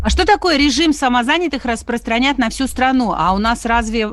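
A woman is speaking. Her pace is moderate. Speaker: radio host. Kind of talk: live radio talk show. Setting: studio.

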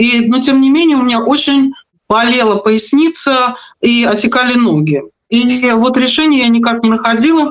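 A woman speaks in a high voice at a moderate pace. Her loudness stays very even, and her pitch varies in an ordinary way. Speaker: vocal and public speaking teacher. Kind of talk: interview.

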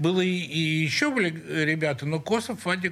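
A man speaks in a fairly high voice with lively intonation. His pace is moderate, and there is noticeable background noise. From Russia, St Petersburg (Leningrad). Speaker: rock guitarist and composer. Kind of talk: interview. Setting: radio studio.

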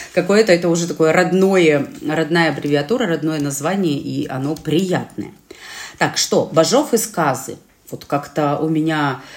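Animated in tone, a woman speaks at a very deep, low pitch and a moderate pace with ordinary pitch variation. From Urals, Russia (Chelyabinsk region). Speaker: podcast co-host. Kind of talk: casual chat.

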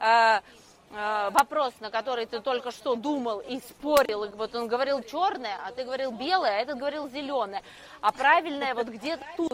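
With a high pitch and ordinary pitch variation, a woman speaks at a moderate pace. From Russia, Moscow. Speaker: entrepreneur and quiz organizer. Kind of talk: casual talk at a live event. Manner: halting, many fillers.

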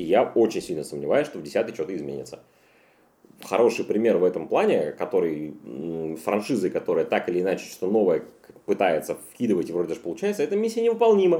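This man speaks at a very fast pace but leaves long, frequent pauses. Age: 30s. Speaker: podcast host. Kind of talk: casual chat.

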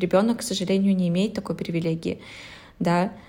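A woman speaks fairly quickly at a medium pitch, somewhat breathy and dark, mellow in tone. Her intonation stays fairly even. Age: 20s. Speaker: podcast co-host. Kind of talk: casual chat.

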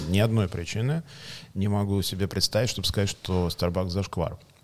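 A man at a fairly low pitch, fairly quick pace and ordinary pitch variation. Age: 40s. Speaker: coffee company executive. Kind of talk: casual interview chat. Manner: measured pace.

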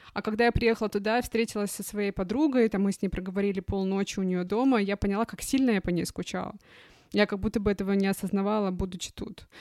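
Very fast pace and fairly even intonation in a dry, close sound with no echo, on a very clean recording with a silent background. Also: woman, medium pitch for a woman. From Russian Far East, Khabarovsk. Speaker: podcast host. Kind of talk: casual chat.

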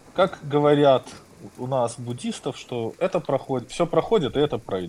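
This man's voice sits at a fairly high pitch. It moves in very wide pitch swings. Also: long, frequent pauses. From Belarus. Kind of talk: casual chat. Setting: Telegram call.

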